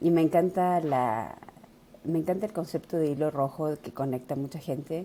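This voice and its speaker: A woman speaks with a very deep, low pitch. Her pace is moderate and her pitch variation ordinary. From Argentina. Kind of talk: interview.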